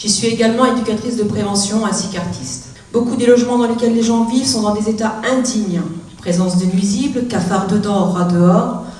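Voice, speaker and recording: Audible room echo and noticeable background noise surround a woman speaking in a fairly high pitch. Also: ordinary pitch variation, fairly quick pace. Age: 40s. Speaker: youth outreach worker and activist. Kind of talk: prepared public speech.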